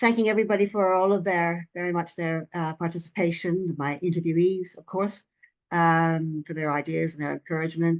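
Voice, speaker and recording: A woman with a fairly low pitch talks at a moderate pace with fairly even intonation. The sound is dry and close, without echo. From Canada, Vancouver Island. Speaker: retired professor, author. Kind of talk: academic webinar talk. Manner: hesitant with many fillers.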